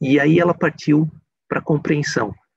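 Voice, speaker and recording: With a Brazilian accent, a man with a fairly high pitch and some vocal fry talks in a dry, close sound with no echo. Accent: speaks English with a Brazilian. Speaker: speaker. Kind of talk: lecture.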